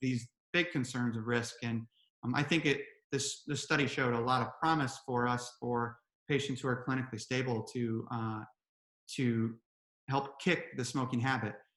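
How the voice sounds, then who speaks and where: A man talks at a moderate pace with a medium pitch in an ordinary speaking voice. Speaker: presenter on smoking cessation medicine. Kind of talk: webinar presentation.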